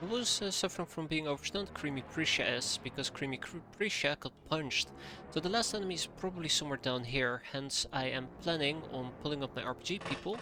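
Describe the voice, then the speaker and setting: Very fast delivery with lively intonation. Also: man, fairly high pitch for a man. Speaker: video game streamer. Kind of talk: gameplay commentary. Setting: live stream. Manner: thinking aloud, casual.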